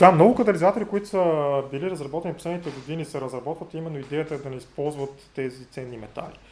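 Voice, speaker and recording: A man talks at a very fast pace with a fairly high pitch, ordinary pitch variation and big swings in loudness. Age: 40s. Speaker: chemistry professor. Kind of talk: interview. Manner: halting, many fillers.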